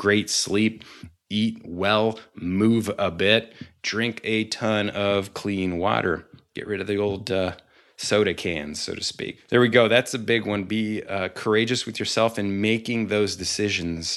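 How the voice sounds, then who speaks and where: With an ordinary speaking voice, a man talks at a fairly low pitch and a fairly slow pace over a quiet background. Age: 40s. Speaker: podcast host and coach. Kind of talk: motivational monologue.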